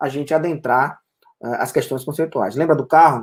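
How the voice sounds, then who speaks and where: Fairly high in pitch, a man talks at a fairly quick pace. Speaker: photographer and teacher. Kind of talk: lecture. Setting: live online broadcast. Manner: hesitant, many fillers.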